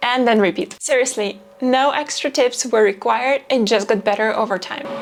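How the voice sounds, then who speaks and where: A woman speaks at a moderate pace in a high pitch, with ordinary pitch variation and noticeable background noise. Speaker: video creator. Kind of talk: talking-head vlog. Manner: quiet.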